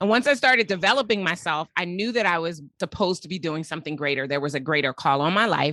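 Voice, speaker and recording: A woman's very fast, animated American-accented speech, bright and sharp in tone, fairly low in pitch, with lively intonation, hardly any pauses and a quiet background. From United States. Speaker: business coach and company CEO. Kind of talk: podcast interview.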